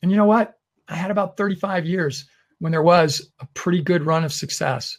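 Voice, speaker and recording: A man with an unremarkable speaking voice, fairly even intonation and a moderate pace. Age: 60s. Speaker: webinar host. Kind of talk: webinar presentation. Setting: online webinar.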